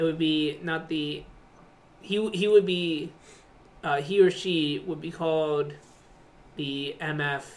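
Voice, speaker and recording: Speech comes at a very slow pace. Long pauses break it up often. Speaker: co-host. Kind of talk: casual chat.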